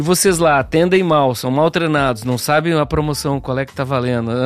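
Recorded very cleanly with a silent background, this is a man with an ordinary speaking voice. He keeps a moderate pace and ordinary pitch variation. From Rio Grande do Sul, Brazil. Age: 60s. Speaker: speaker and former advertising professional. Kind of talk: casual chat.

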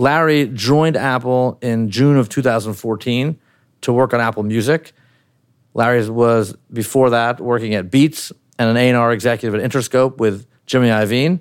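Heard on a very clean recording with a silent background, a man in a plain, everyday voice keeps a moderate pace, a medium pitch and fairly even intonation. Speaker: interviewer. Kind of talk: interview. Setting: home.

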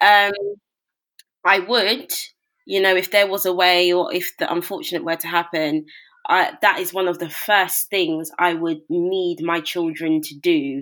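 A woman with a London accent speaks at a medium pitch and a fairly slow pace. Her tone is bright and sharp. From South London (Brixton). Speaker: broadcaster and author. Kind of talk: interview.

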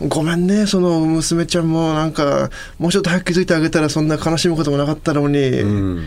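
Very fast speech at a very even loudness over noticeable background noise. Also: man, fairly high pitch for a man, ordinary pitch variation. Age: 30s. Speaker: vocalist and podcast co-host. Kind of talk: casual chat.

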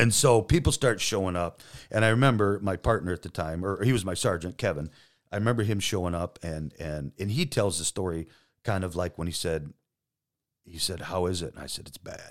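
In a very clean recording with a silent background, a man with an American accent speaks at a very deep, low pitch and a fairly quick pace. His loudness swings widely while his pitch varies in an ordinary way. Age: 50s. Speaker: police detective. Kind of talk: casual interview. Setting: studio.

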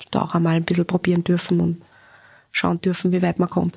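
Recorded with a dry, close sound and no echo, a woman speaks in a fairly low voice. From Upper Austria. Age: 30s. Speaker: magazine editor-in-chief. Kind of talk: interview.

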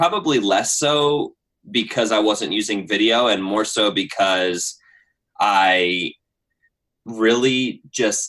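At a very slow pace, this voice speaks with an American accent and ordinary pitch variation. Its tone is bright and sharp. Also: man. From Pennsylvania, US. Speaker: YouTuber and storyteller. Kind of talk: casual interview. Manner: high energy, animated.

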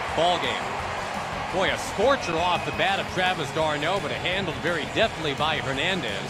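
Music plays in the background. A man with a high pitch talks at a moderate pace. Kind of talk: live sports commentary, baseball play-by-play. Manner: conversational and knowing, playful asides.

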